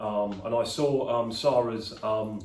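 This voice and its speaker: A man with a London accent, fairly low-pitched, speaking at a very slow pace, with audible room echo. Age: 50s. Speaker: podcast host, fitness centre owner. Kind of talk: casual interview. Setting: in a fitness centre. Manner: hesitant, many fillers.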